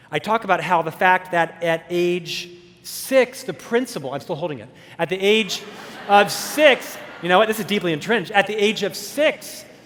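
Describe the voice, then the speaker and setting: A man's high voice with lively intonation against noticeable background noise. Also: moderate pace. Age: 50s. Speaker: keynote speaker. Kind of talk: motivational speech.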